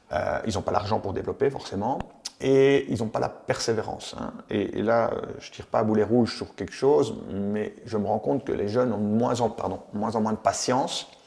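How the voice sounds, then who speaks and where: A man speaks in a medium pitch at a moderate pace. His intonation stays fairly even. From Belgium, Charleroi. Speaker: entrepreneur, former footballer. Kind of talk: interview. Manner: hesitant, many fillers.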